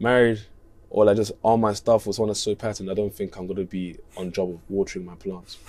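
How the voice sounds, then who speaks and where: This man's voice sits fairly low. He talks at a very fast pace in a flat monotone. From Leicester, England; England. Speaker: musician; interviewee. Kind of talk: casual chat. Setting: interview on tour in Copenhagen. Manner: laid-back, slangy. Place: bus. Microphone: lapel.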